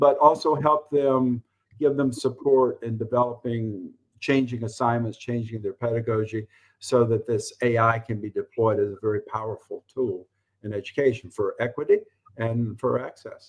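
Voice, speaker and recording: A man with a Southern US accent, medium pitch and fairly even intonation. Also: moderate pace. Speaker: college professor and former administrator. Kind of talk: interview. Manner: halting.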